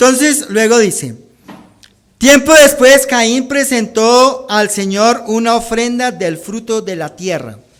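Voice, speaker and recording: A man speaks very slowly with an extremely high pitch, in a Bogotá accent. His pitch varies in an ordinary way, and room echo is audible. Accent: Bogotá Colombian accent, unchanged. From Colombia, Bogotá. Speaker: pastor. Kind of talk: sermon.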